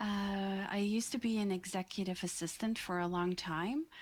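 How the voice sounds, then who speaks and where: A woman with a Dutch accent at a medium pitch, ordinary pitch variation and a fairly slow pace, on a very clean recording with a silent background. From Netherlands, The Hague. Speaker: podcast manager. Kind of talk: interview.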